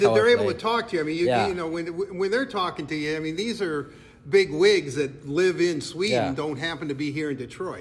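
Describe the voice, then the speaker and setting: A man speaks at a moderate pace with a fairly high pitch and lively intonation. There is noticeable background noise. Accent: Midwestern. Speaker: sports podcast interviewer. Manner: playful, chatty.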